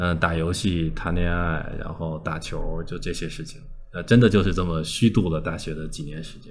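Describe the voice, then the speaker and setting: Against noticeable background noise, a man speaks at a moderate pace with a very deep, low pitch, ordinary pitch variation and big swings in loudness. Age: 30s. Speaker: online video creator. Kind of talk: casual interview.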